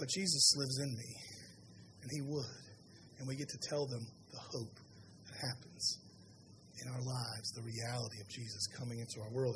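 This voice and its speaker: In audible room echo, a man with a Southern US accent speaks at a moderate pace in a somewhat breathy voice with ordinary pitch variation. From US South. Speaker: pastor. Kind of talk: sermon.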